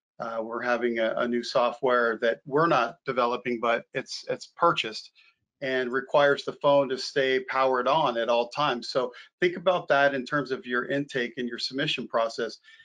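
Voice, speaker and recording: A man talks at a moderate pace in a bright, sharp tone. The background is quiet. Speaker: evidence management co-instructor. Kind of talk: online training lecture. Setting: online video session. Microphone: video call.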